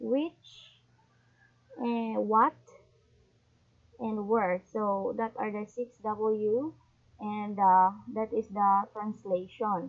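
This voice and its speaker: A woman with a Visayan Filipino accent and a fairly high pitch talks at a very slow pace, with long, frequent pauses. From Philippines, Visayas region. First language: Bisaya (Cebuano). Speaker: YouTuber, language learner. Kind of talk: casual tutorial vlog. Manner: halting.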